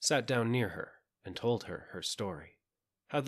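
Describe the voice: Quiet background behind plain reading aloud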